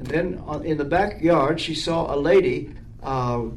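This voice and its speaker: Noticeable background noise sits under the recording. A man talks with ordinary pitch variation. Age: 80s. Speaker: minister and author. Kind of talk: casual conversation with prayer.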